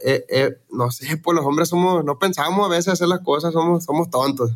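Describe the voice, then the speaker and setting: A man talks at a fairly quick pace with a high pitch. His pitch variation is ordinary. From Mexico, Sinaloa (Los Mochis). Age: young. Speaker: regional Mexican singer. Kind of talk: casual chat. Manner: halting.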